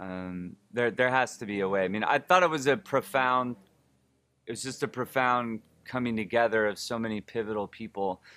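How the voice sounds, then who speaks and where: Very clean recording with a silent background. A man in an American accent talks at a moderate pace with ordinary pitch variation. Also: medium pitch for a man. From Oakland, California. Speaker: filmmaker and performer. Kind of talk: casual interview.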